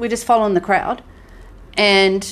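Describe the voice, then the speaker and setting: A woman speaks with an Australian accent at medium pitch. Her tone is animated. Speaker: podcast co-host. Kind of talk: casual chat.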